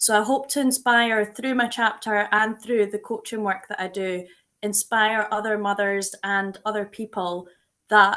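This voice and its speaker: Against a quiet background, the speaker talks with a Scottish accent and fairly even intonation. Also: woman. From Scotland. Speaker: book co-author and coach. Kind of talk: book launch introduction.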